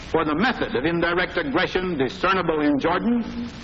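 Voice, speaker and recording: A man in an American accent speaks at a high pitch and moderate pace, with lively intonation and noticeable background noise. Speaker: head of state. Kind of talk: formal political speech.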